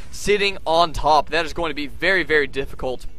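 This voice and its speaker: A man's raised, projected voice, high-pitched, at a very fast pace with ordinary pitch variation, over noticeable background noise. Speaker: game commentator. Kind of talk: live commentary. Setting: live stream. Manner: animated.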